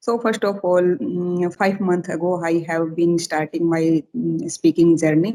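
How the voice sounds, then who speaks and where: A woman talks at a fairly slow pace with hardly any pauses, her fairly low pitch carrying ordinary variation. Her tone is dark and mellow. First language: Hindi / Rajasthani. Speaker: schoolteacher. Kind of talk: casual chat. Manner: halting.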